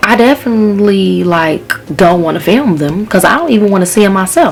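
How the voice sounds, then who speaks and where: A woman talks at a fairly quick pace, her intonation lively, while noticeable background noise is present. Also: medium pitch for a woman. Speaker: YouTuber, natural hair vlogger. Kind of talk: casual vlog talk to camera. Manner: fast.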